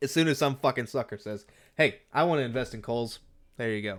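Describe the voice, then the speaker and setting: In a very clean recording with a silent background, a man with an American accent speaks at medium pitch and a fairly quick pace, with ordinary pitch variation and an ordinary speaking voice. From United States. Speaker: podcaster and streamer. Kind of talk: casual solo podcast monologue. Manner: rambling with many fillers.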